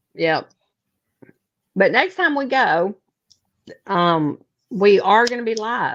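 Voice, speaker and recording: Very wide pitch swings and vocal fry in a Mississippi accent. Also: woman. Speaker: paranormal investigator. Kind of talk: casual chat.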